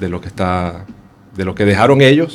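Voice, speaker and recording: A man speaks with ordinary pitch variation at a fairly low pitch. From Venezuela, Caracas. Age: 40s. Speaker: homeless shelter resident. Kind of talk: radio interview. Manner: halting.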